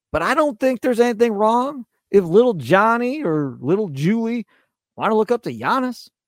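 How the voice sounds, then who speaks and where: Lively intonation with an American accent at a moderate pace, dry and close with no echo, in a very clean recording with a silent background. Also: man, high pitch for a man. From Wisconsin. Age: 40s. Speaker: sports radio host. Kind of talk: solo sports podcast monologue. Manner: animated.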